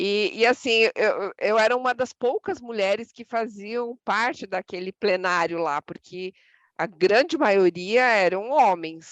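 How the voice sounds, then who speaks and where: A woman speaks very slowly with lively intonation and a fairly high pitch. The sound is dry and close, with no echo. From Brazilian interior. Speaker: association president. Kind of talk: podcast interview.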